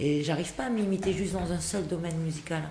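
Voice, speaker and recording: A woman with a fairly low pitch speaks in a southern French accent, with audible room echo. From France. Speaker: singer and actress. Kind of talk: radio interview.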